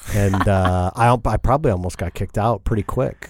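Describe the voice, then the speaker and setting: The recording is very clean with a silent background as a man talks with an American accent. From US Midwest (northwest Indiana, near Chicago). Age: 40s. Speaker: business leader. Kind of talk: casual interview.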